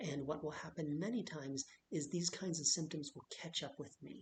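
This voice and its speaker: A somewhat breathy, soft-spoken voice. It moves at a moderate pace. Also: man. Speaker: vlogger sharing health experience. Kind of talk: personal vlog monologue. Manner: quiet, soft-spoken.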